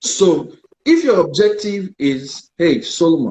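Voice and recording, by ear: A man talks slowly in a fairly high voice with big pitch swings, a slightly mellow tone and a slightly husky edge.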